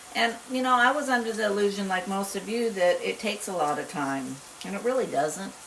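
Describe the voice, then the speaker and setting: A woman speaks fairly quickly at a medium pitch with very wide pitch swings. Audible room echo and noticeable background noise are present. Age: 60s. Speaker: retired homesteader cooking channel host. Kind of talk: casual cooking tutorial. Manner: hesitant, many fillers.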